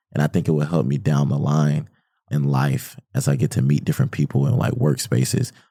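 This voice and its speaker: Very deep and low, this man's voice has a dark, mellow tone, vocal fry and an American accent. He talks at a fairly quick pace with very even loudness. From US South, Atlanta. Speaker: college student. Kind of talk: podcast interview. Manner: casual.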